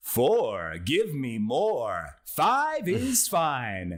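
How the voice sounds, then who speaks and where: Putting on a booming character voice, a man speaks at a fairly high pitch. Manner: cheesy, exaggerated, booming.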